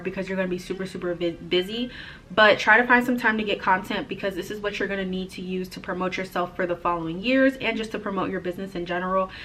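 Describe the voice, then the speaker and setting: A woman's very fast speech at medium pitch, with fairly even intonation, hardly any pauses and noticeable background noise. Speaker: florist and vlogger. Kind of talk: casual tutorial vlog.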